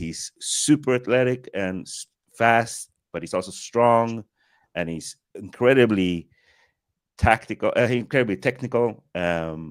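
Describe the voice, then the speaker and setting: A man with an American accent speaks at a fairly slow pace and a medium pitch, with ordinary pitch variation and big swings in loudness, recorded dry and close with no echo, very clean against a silent background. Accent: American-sounding. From Sweden. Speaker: film director, podcast guest. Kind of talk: casual chat.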